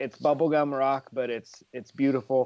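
The delivery keeps a monotone, flat intonation at a moderate pace. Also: man. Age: 40s. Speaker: music fan co-host. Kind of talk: casual chat.

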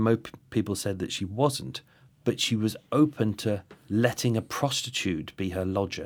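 Recorded very cleanly against a silent background, a man speaks at a moderate pace with a fairly low pitch. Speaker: podcaster and true crime researcher. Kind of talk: casual interview. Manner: hesitant, filler-heavy.

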